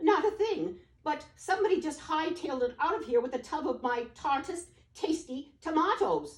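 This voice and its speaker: The speaker uses a high-pitched, put-on character voice. The pace is moderate. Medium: read story.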